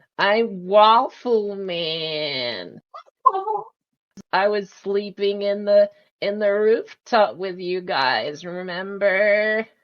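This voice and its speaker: The put-on character voice sits at a middle pitch and moves at a very slow pace. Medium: actual play. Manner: eager, friendly.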